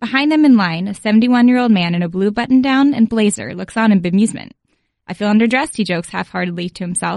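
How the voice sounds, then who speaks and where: A woman speaks very fast in a somewhat breathy voice of medium pitch, with a dry, close sound and no echo. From Philadelphia. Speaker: sports journalist. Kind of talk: reading aloud.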